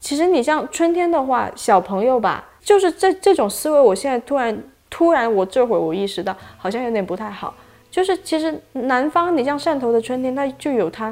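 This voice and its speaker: A woman's high voice swings very widely in pitch as she talks at a medium speed. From Shantou, Guangdong (Chaoshan region). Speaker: video producer at the media company. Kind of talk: casual interview chat. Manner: hesitant, many fillers and repetitions.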